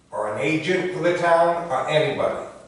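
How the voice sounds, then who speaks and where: Heard with audible room echo and noticeable background noise, a man speaks at a very slow pace. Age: 70s. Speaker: resident speaking at public comment. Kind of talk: public comment at town meeting. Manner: animated.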